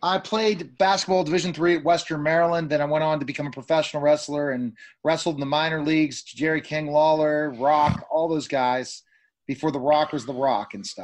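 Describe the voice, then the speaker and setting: A man's fairly high pitch and a normal speaking voice, fairly quick pace, ordinary pitch variation, and a quiet background. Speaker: talk show host. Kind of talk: interview. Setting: remote call. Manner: excitable.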